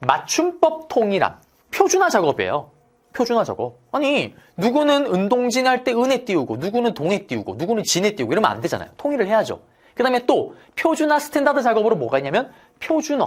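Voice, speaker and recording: Speaking at a fairly quick pace, a man uses an extremely high pitch that swings very widely. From South Korea, Daegu. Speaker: history lecturer. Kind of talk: lecture. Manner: animated.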